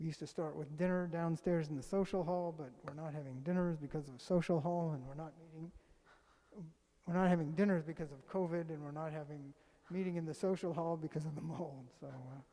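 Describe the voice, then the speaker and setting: Soft-spoken delivery marks this voice. It moves along at a fairly quick clip. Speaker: congregant giving announcements. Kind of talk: reading announcements. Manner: halting.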